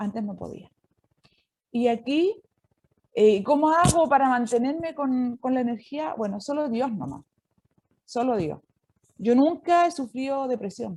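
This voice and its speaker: A woman speaks at a fairly slow pace in a high voice, with long, frequent pauses. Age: 60s. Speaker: nun and prison chaplain. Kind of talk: inspirational talk.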